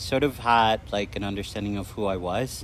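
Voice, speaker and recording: A man's fairly low voice with vocal fry, lively intonation and a moderate pace. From Mexico. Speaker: student and poet. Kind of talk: interview. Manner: hesitant, many fillers.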